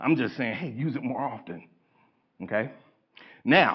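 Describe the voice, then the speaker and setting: The speaker is a man. He has an American accent. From Indiana, US Midwest. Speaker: public speaker, college professor, retired hostage negotiator. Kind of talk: lecture. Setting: stage with audience. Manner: fast; halting.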